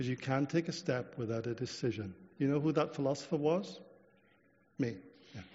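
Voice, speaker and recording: Fairly quick yet broken by long, frequent pauses, a man's somewhat breathy, fairly high voice carries lively intonation. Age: 60s. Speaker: preacher. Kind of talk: sermon. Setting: church. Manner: halting.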